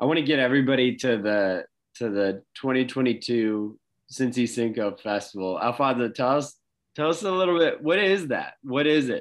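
A man with an unremarkable speaking voice talks at a moderate pace. His intonation is lively against a quiet background. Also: medium pitch for a man. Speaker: podcast host. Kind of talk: interview.

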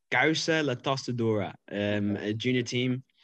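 A man with an Irish accent speaks at a medium pitch against a quiet background. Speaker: cyclist. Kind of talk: casual chat.

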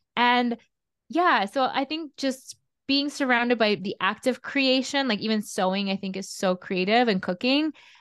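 Her high voice has lively intonation, and the woman's sound is dry and close with no echo against a quiet background. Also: moderate pace. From Russia (Vladimir). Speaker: artist and coach. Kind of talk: interview.

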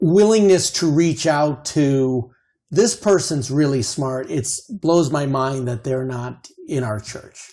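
A man with an American accent, fairly high-pitched, dark and mellow in tone, at a fairly slow pace. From Chicago suburbs, US Midwest. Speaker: guest, parent, former student. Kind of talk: casual interview conversation.

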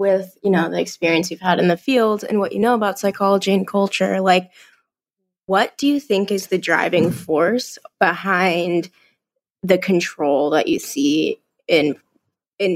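Pitch moves in an ordinary way across an unremarkable speaking voice. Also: woman, medium pitch for a woman, moderate pace. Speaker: therapist and podcast co-host. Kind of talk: casual interview.

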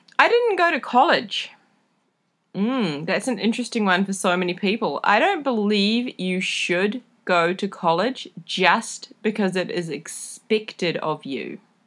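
In a New Zealand accent, a woman speaks at medium pitch and a fairly slow pace, sounding animated with lively intonation. The recording is very clean with a silent background. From New Zealand, rural. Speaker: podcast host, travel community founder. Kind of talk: casual solo podcast monologue.

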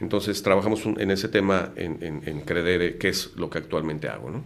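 A man speaks in a very deep, low voice with ordinary pitch variation. The room echo is audible. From Mexico City. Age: 50s. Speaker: lawyer and entrepreneur. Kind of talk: casual interview.

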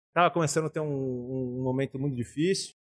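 Dry and close with no echo, the speaker talks with a São Paulo accent. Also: man. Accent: São Paulo Brazilian Portuguese. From São Paulo, Brazil. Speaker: architect and craft brewer. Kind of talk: casual interview conversation.

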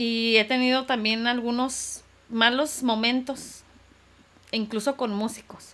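Fairly even intonation from a woman speaking at a high pitch. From Tijuana, Mexico (born in Irapuato, Guanajuato). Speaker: singer. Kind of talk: interview.

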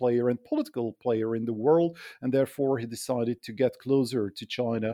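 In a very clean recording with a silent background and a dry, close sound with no echo, a man with a Hungarian accent speaks fairly quickly at medium pitch in a dark, mellow tone with ordinary pitch variation. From Hungary. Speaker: political science professor. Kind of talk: expert interview.

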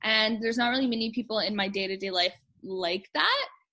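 A woman with a Canadian accent, an ordinary speaking voice, fairly high pitch, moderate pace. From Canada, Manitoba (Winnipeg). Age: 20s. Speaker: translator, cancer survivor. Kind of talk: interview, personal testimony.

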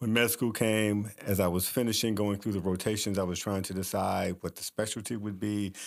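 Speaking at a fairly quick pace with hardly any pauses, a man with an American accent holds a flat, monotone intonation at a fairly low pitch, captured in a very clean recording against a silent background. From Kansas City, US Midwest. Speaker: physician. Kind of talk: interview.

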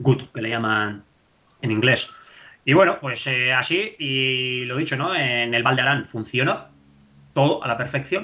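An unremarkable speaking voice from a man, medium in pitch, fairly slow, with ordinary pitch variation. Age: 30s. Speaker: trail runner and engineering lecturer. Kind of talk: casual chat.

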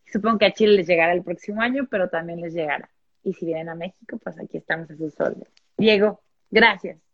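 Talking at a very fast pace in a Mexican accent, a woman with a medium pitch makes big swings in loudness. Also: ordinary pitch variation. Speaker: publisher. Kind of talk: casual chat.

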